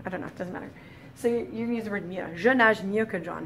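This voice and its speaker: With light background noise behind her, a woman speaks with ordinary pitch variation. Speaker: French teacher. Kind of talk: tutorial. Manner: casual, with many fillers. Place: classroom. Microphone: camera far.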